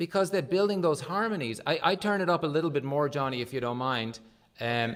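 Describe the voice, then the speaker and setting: Speaking fairly quickly with an Irish accent, a man uses lively intonation at a fairly high pitch. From Ireland. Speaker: livestream music show host. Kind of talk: casual interview.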